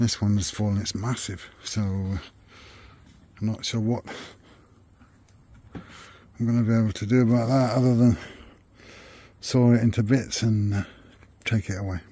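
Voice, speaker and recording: The voice has a dark, mellow tone and moves at a moderate pace, broken by long, frequent pauses. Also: man, medium pitch for a man, fairly even intonation. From United Kingdom. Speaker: expat vlogger. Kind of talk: casual vlog talk to camera.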